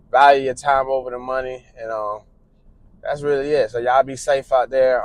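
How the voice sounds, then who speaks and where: The man's voice sits at a medium pitch. He talks at a moderate pace. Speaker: truck driver vlogger. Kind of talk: casual vlog monologue. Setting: in a car. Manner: monotone.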